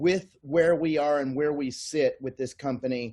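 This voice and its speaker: At a moderate pace, a man with a fairly high pitch speaks in a plain, everyday voice. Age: 60s. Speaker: network marketing distributor, kung fu master and massage therapist. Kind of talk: interview.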